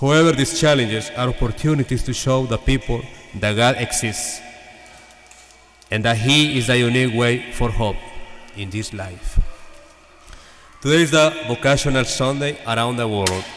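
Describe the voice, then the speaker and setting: The speaker has a Salvadoran accent, ordinary pitch variation, and long, frequent pauses. Noticeable background noise and audible room echo fill the recording. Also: man, medium pitch for a man, moderate pace. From El Salvador. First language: Spanish. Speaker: priest. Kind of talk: homily. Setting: church.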